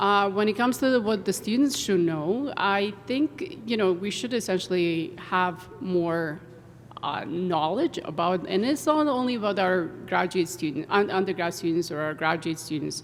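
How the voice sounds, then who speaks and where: At a moderate pace, a woman with a medium pitch talks with lively intonation against noticeable background noise. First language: not English. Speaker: engineering professor. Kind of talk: panel discussion.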